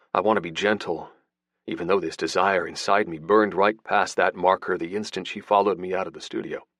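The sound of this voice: Quiet surrounds the speaker. It is an unforced reading voice.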